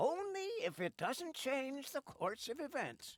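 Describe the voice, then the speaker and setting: In a put-on character voice, a female-sounding speaker goes at a fairly slow pace, pitched high with very wide swings. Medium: video game. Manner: brief, matter-of-fact.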